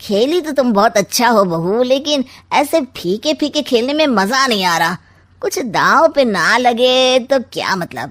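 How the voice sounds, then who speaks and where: Using a cartoonish character voice, a woman speaks at a high pitch with very wide pitch swings and a moderate pace, on a very clean recording with a silent background. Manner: sly, smug, wisecracking.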